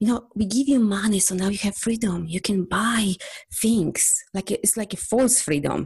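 In a Polish accent, the voice is dark, mellow and somewhat breathy, moving at a moderate pace. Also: woman. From Poland. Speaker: energy healer and coach. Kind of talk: interview.

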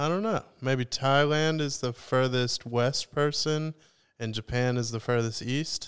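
The speaker uses a plain, everyday voice at a fairly slow pace. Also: man, medium pitch for a man, ordinary pitch variation. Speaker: podcast host. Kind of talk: casual chat.

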